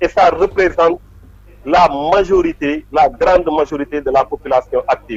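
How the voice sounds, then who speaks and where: This man's delivery moves at a moderate pace. There is no echo, and the sound is dry and close. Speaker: politician. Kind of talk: interview.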